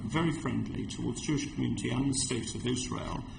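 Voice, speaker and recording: This man has a southern English accent, and there is audible echo in the room. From London, England. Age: 60s. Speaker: community organisation representative. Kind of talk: committee hearing testimony. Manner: halting.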